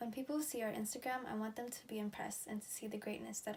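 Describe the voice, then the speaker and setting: Somewhat breathy and fairly high in pitch, a woman speaks at a very fast pace. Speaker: student election nominee. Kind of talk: campaign speech.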